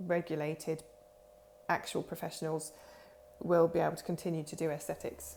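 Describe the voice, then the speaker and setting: Speaking at a moderate pace, a woman with a Norfolk accent has a dark, mellow tone. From England, Norfolk. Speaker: aesthetics practitioner, clinic owner. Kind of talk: informal talk-to-camera explainer. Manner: rambling, many fillers.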